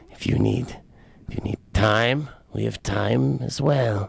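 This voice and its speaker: A raspy put-on character voice from a man, fairly low in pitch, comes at a fairly slow pace. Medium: old radio play. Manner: giggly, cryptic.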